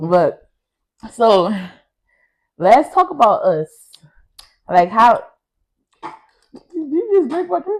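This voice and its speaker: Speaking very slowly with long, frequent pauses, a woman uses a high pitch that swings very widely. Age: 20s. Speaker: podcast co-host. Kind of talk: casual chat. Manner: animated.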